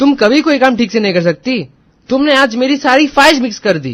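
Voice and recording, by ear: Putting on a character voice, a man talks at a fairly quick pace in an extremely high, fairly bright voice with big pitch swings.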